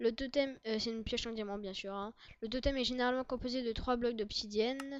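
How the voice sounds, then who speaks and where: A woman's fairly high voice in a monotone, flat intonation at a fairly quick pace. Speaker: gaming youtuber. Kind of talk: gameplay commentary.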